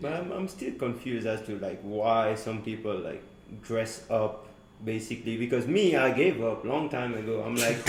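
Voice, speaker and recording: Audible room echo and noticeable background noise surround a man speaking at a moderate pace, with medium pitch and ordinary pitch variation. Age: 20s. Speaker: international student. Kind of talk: casual chat.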